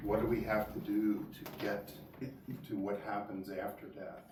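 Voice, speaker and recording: Speaking at a very slow pace, a man is heard with noticeable background noise. There is audible room echo as well. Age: 60s. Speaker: lecturer on archaeology. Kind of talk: lecture. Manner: halting, with many repeated words.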